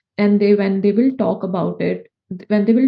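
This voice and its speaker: A woman talks in a fairly high pitch at a moderate pace. Her voice is somewhat breathy. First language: not English. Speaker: food safety consultant. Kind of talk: interview. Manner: halting.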